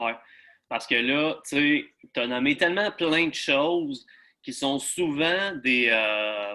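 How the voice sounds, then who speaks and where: At a very slow pace, the speaker uses lively intonation with a Quebec accent. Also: man, fairly high pitch for a man. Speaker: fitness coach. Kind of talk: interview.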